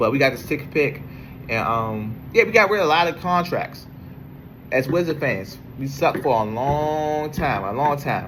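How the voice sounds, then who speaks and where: A man with an American accent, fairly high-pitched, with lively intonation, a moderate pace and audible room echo. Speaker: sports podcaster. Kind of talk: casual monologue. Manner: halting, many fillers.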